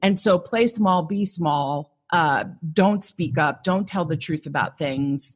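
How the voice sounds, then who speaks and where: Her voice is an ordinary speaking voice, fairly low in pitch for a woman, with ordinary pitch variation and a fairly slow pace. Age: 40s. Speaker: psychotherapist turned coach. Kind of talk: podcast interview.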